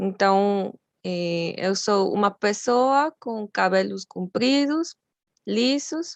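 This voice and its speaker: A woman speaks at a medium pitch with a Mexican accent. The sound is dry and close with no echo. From Mexico. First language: Spanish (speaking Portuguese). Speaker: graduate student lecturer. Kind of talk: lecture.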